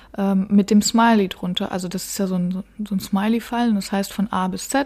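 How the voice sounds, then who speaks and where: At a moderate pace, a woman with a medium pitch and a somewhat breathy voice speaks with fairly even intonation. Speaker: marketing podcast host and web agency owner. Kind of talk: solo podcast talk. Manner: casual, with frequent fillers.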